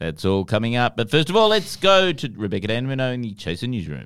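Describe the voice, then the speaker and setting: A man talks at a medium pitch on a very clean recording with a silent background. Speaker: comedy news podcast host. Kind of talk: casual comedic chat.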